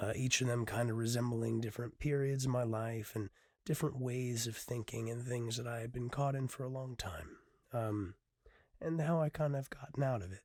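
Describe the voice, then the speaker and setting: At a moderate pace, a man speaks in an intense tone with ordinary pitch variation. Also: medium pitch for a man, very clean recording, silent background. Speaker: poet and podcaster. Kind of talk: solo podcast talk, some poetry reading; poem performed, rhythmic rhyming spoken-word delivery, intimate and confessional. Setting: filming video podcast with camera and mic. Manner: hesitant, filler-heavy, earnest; rhythmic, brooding, intense spoken-word cadence in the poem.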